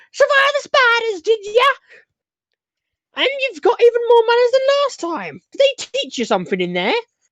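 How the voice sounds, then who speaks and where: A woman's put-on character voice, extremely high-pitched and cackling, at a moderate pace with long, frequent pauses and ordinary pitch variation. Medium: actual play. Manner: cackling, folksy, talkative.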